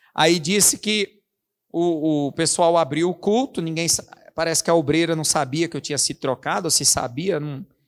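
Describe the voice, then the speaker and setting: At a moderate pace, a man with a fairly high pitch speaks with ordinary pitch variation in a dry, close sound with no echo. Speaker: pastor. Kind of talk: sermon. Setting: church.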